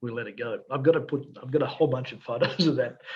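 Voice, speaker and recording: Speaking very fast, a man talks in an Australian accent. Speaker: fly fishing guide. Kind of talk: casual podcast interview answers.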